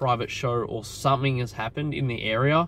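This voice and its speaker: There is ordinary pitch variation in this man's voice, recorded dry with no echo. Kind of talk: casual vlog chat. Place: car. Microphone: phone near.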